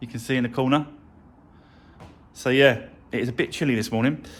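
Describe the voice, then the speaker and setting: A mumbling man with a British accent. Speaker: car mechanic and vlogger. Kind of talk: workshop vlog. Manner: casual, hesitant with fillers; mumbling a little.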